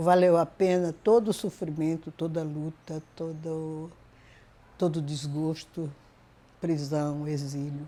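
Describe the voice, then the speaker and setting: Very deep and low in pitch, a woman's voice has a dark, mellow tone and fairly even intonation. She speaks at a very slow pace with long, frequent pauses on a very clean recording with a silent background. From Northeast Brazil, Paraíba (Cariri, Campina Grande). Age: 80s+. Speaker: retired professor and educator. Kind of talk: interview testimony.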